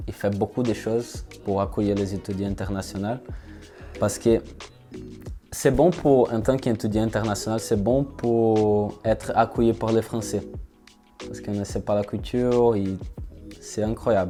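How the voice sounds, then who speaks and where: A man speaks fairly slowly at a fairly low pitch, his intonation fairly even and broken by long, frequent pauses. Music plays in the background. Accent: Brazilian. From southern Brazil. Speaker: engineering student. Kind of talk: interview answer. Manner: hesitant.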